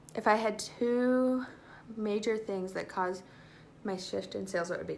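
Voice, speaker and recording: In a room with audible echo, a woman at a medium pitch speaks at a fairly slow pace in an animated tone. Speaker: direct sales consultant. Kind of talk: live stream Q&A tutorial. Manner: casual, animated.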